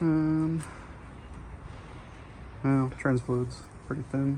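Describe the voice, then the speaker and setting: The speaker mumbles at a very slow pace. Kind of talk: casual talk while working on a car. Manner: shy, mumbling on camera.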